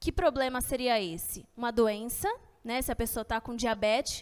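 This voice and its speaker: At a moderate pace, a woman speaks. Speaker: nutritionist giving a health talk. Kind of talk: lecture. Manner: casual and friendly.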